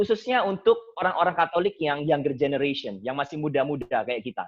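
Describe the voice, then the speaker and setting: Intonation rises and falls in a lively way. The man delivers his words fairly quickly. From Indonesia, Surabaya (East Java). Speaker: seminarian and Bible study speaker. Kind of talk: Bible study talk. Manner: casual, mixing English phrases.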